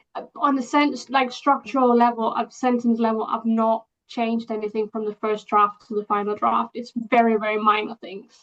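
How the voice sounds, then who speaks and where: Speaking at a moderate pace with hardly any pauses, a woman with a non-native accent has a fairly high pitch and fairly even intonation. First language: not English. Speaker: indie author. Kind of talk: interview.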